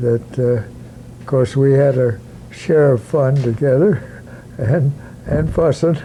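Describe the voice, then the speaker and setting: With an American accent, a man speaks very slowly at a medium pitch, with ordinary pitch variation and very even loudness, against noticeable background noise. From Iowa, US Midwest. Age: 90s. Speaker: former football player and coach. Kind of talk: oral history interview. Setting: at home. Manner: halting.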